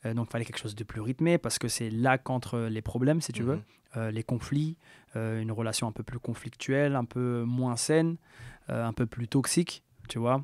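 In a normal speaking voice, a man talks at a moderate pace and medium pitch with fairly even intonation, recorded dry and close with no echo on a very clean recording with a silent background. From France, Metz. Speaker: music producer. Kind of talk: casual interview chat.

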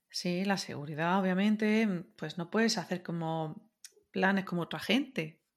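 A woman with a plain, everyday voice speaks at a fairly slow pace. Her pitch variation is ordinary, on a very clean recording with a silent background. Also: medium pitch for a woman. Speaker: podcast guest, web developer. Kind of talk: casual chat.

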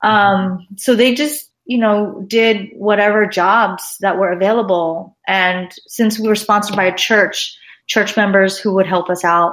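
A woman with a medium pitch speaks at a fairly slow pace. Her loudness stays very even, and she hardly pauses. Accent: Californian. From Los Angeles, US. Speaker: art professor. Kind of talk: interview. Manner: animated.

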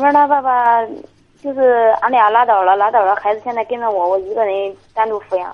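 At a fairly quick pace, a woman speaks in a plain, everyday voice, fairly high in pitch with fairly even intonation. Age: 20s. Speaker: caller, young mother. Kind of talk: phone-in conversation. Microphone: too quiet at first.

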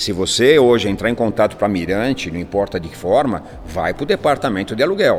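A man rattles along at a very fast pace with lively intonation and big swings in loudness. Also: medium pitch for a man. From São Paulo, northern zone. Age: 60s. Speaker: real estate agency CEO. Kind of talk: interview.

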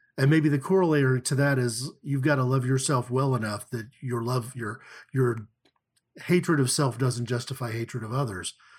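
In an American accent, a somewhat breathy voice moves at a moderate pace with ordinary pitch variation, on a very clean recording with a silent background. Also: man, medium pitch for a man. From Oklahoma (Tulsa). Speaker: church leader and podcast co-host. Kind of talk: casual discussion. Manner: halting, many fillers.

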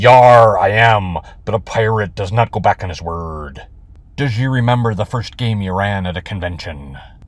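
Putting on a character voice, a man speaks at a fairly low pitch and a moderate pace. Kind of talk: pirate speech: 'Yar', 'does you remember'. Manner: comic, exaggerated pirate voice.

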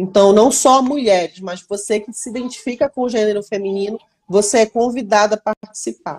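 A woman with an unremarkable speaking voice talks at a moderate pace, fairly high in pitch with ordinary pitch variation and big swings in loudness, the sound dry and close with no echo. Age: 30s. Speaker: product manager. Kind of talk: casual interview.

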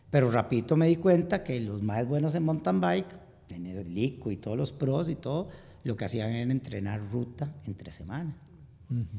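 A somewhat breathy man speaks in a dark, mellow tone at medium pitch. His pace is moderate, with very wide pitch swings. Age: 50s. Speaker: amateur endurance athlete. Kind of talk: interview.

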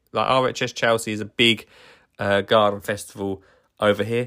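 An animated voice with a bright, sharp tone. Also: man, very clean recording, silent background. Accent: Essex. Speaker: gardener and podcast host. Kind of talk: casual solo podcast monologue.

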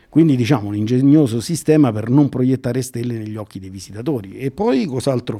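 A man talks with lively intonation at a medium pitch. His tone is dark and mellow. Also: fairly quick pace.

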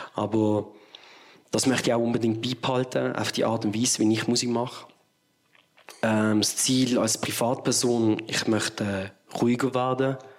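At a moderate pace and medium pitch, a man speaks in a monotone, flat delivery with very even loudness and long, frequent pauses. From Switzerland, Basel area. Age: 30s. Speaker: musician. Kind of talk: casual interview.

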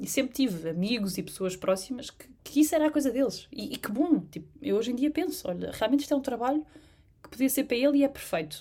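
A woman with a European Portuguese accent talks very fast in a high voice with a dark, mellow tone. Her pitch swings very widely and her loudness shifts a lot. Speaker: designer. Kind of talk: casual interview. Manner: hesitant, many fillers.

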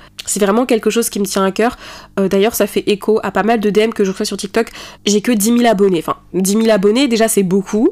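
Fairly quick and fairly high-pitched, a woman talks with fairly even intonation. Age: 20s. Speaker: student podcaster and TikTok creator. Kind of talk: casual solo podcast monologue. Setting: in bed at home. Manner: articulate, eloquent delivery; hesitant with frequent fillers.

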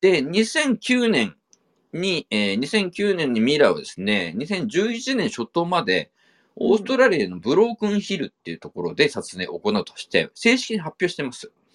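With a dry, close sound and no echo, a man speaks at a high pitch and a moderate pace, with very wide pitch swings and big swings in loudness. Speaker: podcast host, film enthusiast. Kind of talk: casual chat.

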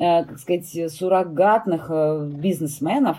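A woman speaks with a dark, mellow tone. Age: 50s. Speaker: fur industry expert and brand owner. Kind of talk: interview.

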